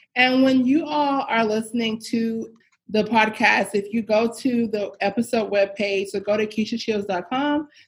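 Here a woman talks at a fairly slow pace. Her pitch varies in an ordinary way. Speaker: podcast host for women leaders. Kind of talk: interview conversation. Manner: projecting voice.

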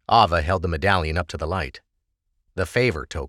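On a very clean recording with a silent background and a dry, close sound with no echo, a man talks at a moderate pace in a bright, sharp tone with vocal fry and lively intonation. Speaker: audiobook narrator. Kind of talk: dramatic fantasy audiobook narration with character dialogue. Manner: measured, expressive storytelling cadence; voices distinct characters in dialogue.

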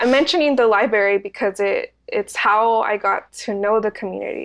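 This woman has a fairly high pitch and ordinary pitch variation. It is a plain, everyday voice against a quiet background. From Santa Ana, California (Mexican immigrant parents). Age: 20s. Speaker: community bookstore and arts organizer. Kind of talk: interview.

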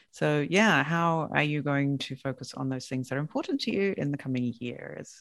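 Speaking with an English accent, a woman uses a very deep, low pitch, ordinary pitch variation and a moderate pace. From England. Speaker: podcast manager and interviewer. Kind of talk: casual interview.

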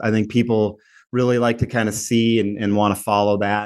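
Against a quiet background, a man speaks with an American accent. His pitch is medium. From Minnesota. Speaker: logistics company president. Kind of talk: interview. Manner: hesitant, many fillers.

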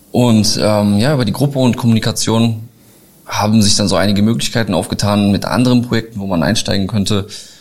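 Here a man speaks in a plain, everyday voice at a fairly quick pace. His pitch is medium, with ordinary pitch variation. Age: 30s. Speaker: short-term rental entrepreneur. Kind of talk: interview. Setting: live event venue.

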